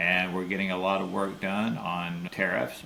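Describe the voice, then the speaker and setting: Audible room echo surrounds a man with a very deep, low voice speaking at a fairly slow pace. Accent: Florida. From Florida. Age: 70s. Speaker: rancher. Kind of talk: interview.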